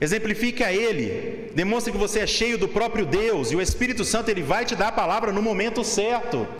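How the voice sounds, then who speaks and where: A high-pitched man with a Brazilian accent at a fairly quick pace, with audible room echo and noticeable background noise. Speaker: seminarian preacher. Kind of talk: sermon. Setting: church pulpit.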